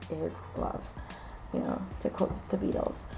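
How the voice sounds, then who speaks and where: With music playing in the background, a woman talks at a fairly slow pace. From New York. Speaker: aspiring special education teacher. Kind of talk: casual talk to camera.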